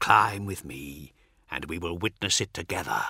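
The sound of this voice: In a put-on character voice, a man speaks low for his sex with a bright, sharp tone, a slightly husky edge, vocal fry and lively intonation, in a very clean recording with a silent background and a dry, close sound with no echo. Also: moderate pace.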